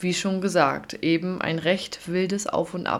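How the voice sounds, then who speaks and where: A woman speaking at a fairly slow pace. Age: 20s. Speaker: podcast host and kindergarten teacher. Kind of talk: solo podcast introduction. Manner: warm, enthusiastic.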